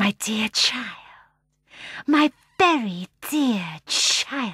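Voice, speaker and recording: Putting on a character voice, a woman speaks very slowly at a fairly high pitch, with hissing. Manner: tender, affectionate.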